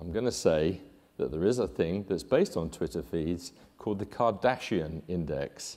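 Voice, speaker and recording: A man with a British accent speaks at a moderate pace with a very deep, low pitch. His tone is dark and mellow, and his intonation lively. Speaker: conference presenter introducing speaker. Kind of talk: speaker introduction.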